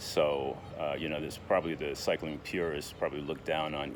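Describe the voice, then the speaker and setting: A man with a very deep, low pitch and monotone, flat intonation at a moderate pace, amid audible room echo and noticeable background noise. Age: 60s. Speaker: diabetes vlogger. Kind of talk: casual vlog monologue. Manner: hesitant, many fillers and repetitions.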